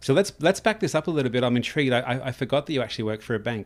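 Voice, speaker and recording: The man talks at a very fast pace, his medium-pitched voice showing ordinary pitch variation. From outside Canada. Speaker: podcast host. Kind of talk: casual interview.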